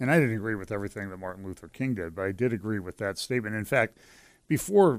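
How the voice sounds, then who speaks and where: A man talks with ordinary pitch variation on a very clean recording where the background is silent. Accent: western Pennsylvania. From western Pennsylvania. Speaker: pastor and lawyer. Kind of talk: casual interview chat. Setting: studio.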